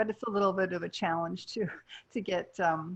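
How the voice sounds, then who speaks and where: A woman talks at a moderate pace, her pitch medium and her pitch variation ordinary. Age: 60s. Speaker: nutritionist and health coach. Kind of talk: casual interview chat.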